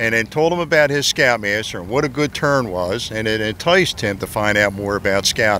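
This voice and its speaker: This is a man with an American accent and an ordinary speaking voice, pitched in the medium range. He barely pauses, and his intonation is lively. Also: fairly quick pace. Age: 60s. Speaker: scoutmaster. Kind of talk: casual interview. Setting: outdoors at historic fort.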